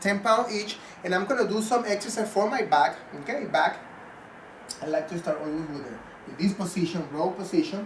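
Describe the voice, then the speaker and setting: Lively intonation at a fairly quick pace, with big swings in loudness, long, frequent pauses and noticeable background noise. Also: man, high pitch for a man. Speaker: fitness trainer. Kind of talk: tutorial. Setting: at home.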